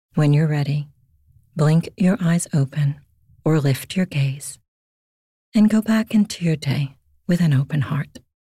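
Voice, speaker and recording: A woman speaks with a very deep, low pitch and a dark, mellow, somewhat breathy tone at a fairly slow pace. Her pitch varies in an ordinary way, with long, frequent pauses and a dry, close sound with no echo. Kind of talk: guided meditation. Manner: slow, gentle, hushed and unhurried.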